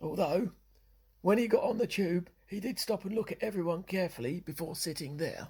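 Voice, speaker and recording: Raspy put-on character voice at a middle pitch, fairly quick in pace. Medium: audio drama. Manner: polite, careful.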